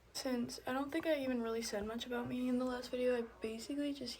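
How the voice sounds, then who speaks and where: A woman's ordinary pitch variation comes through over noticeable background noise. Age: 20s. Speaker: beauty vlogger. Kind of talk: casual chat. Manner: casual, rambling filler words.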